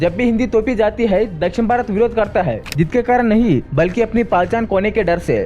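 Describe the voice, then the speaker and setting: A man speaks with high pitch and ordinary pitch variation, keeping his loudness very even. He hardly pauses at all, and noticeable background noise is present. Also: moderate pace. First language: Telugu (speaking Hindi). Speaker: YouTuber, commentator. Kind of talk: scripted commentary.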